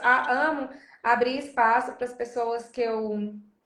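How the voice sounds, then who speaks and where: Audible room echo surrounds a woman whose intonation stays fairly even. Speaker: podcast host. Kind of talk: casual chat. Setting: video call.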